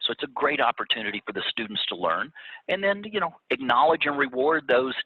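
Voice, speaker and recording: The voice has a Louisiana accent. The pace is moderate. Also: man. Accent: Louisiana Southern US. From Louisiana (Baton Rouge). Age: 60s. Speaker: agribusiness executive, former youth organization state officer. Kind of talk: interview. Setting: video call.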